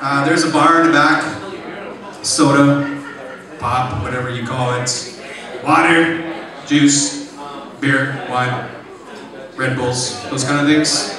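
Against noticeable background noise and strong room echo, a man talks at a fairly slow pace with ordinary pitch variation and long, frequent pauses. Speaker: event host. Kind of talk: stage announcement. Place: cafe.

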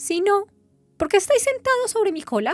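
A squeaky, put-on character voice at a moderate pace, with faint music in the background. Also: woman. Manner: indignant.

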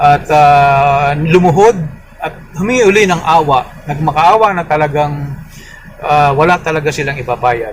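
Here a man speaks at a fairly slow pace with ordinary pitch variation. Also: fairly high pitch for a man. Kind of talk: casual vlog retelling a homily. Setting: outdoors at church parking area. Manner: halting, many fillers.

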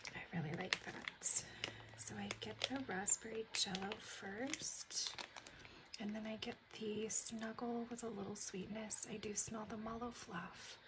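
A woman talks at a fairly slow pace with fairly even intonation. Noticeable background noise runs beneath her. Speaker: ASMR content creator. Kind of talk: casual talk to camera, product haul review. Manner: soft-spoken, whispery. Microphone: phone near.

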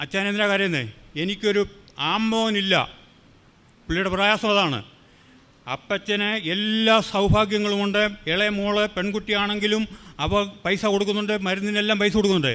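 In a raised, projected voice, a man speaks with a high pitch, a bright, sharp tone, fairly even intonation and very even loudness. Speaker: churchgoer giving testimony. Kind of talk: testimony.

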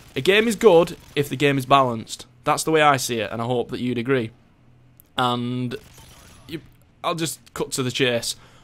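A man with a British accent talks at a medium pitch, leaving long, frequent pauses. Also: ordinary pitch variation, moderate pace. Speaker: gaming YouTuber doing gameplay commentary. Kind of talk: angry rant at game developers over gameplay footage. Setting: home recording over gameplay footage. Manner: sarcastic mock-deliberation building into expletive-laden outbursts; heated, repetitive, stumbling over words when worked up.

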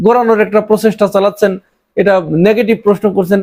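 This man's voice sits at a high pitch with a dark, mellow tone. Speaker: political commentator. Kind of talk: political commentary monologue. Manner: animated.

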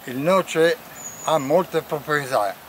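A man talks at a very slow pace. The sound is dry with no echo, and there is light background noise. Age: 80s+. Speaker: retired carpenter. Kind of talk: casual talk during a walk. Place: open country. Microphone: phone near.

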